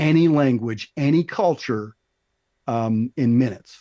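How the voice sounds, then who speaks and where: Speaking at a fairly slow pace, a man uses a dark, mellow tone at a medium pitch with ordinary pitch variation, in a dry, close sound with no echo. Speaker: business consultant. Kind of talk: podcast interview answer. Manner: enthusiastic, passionate.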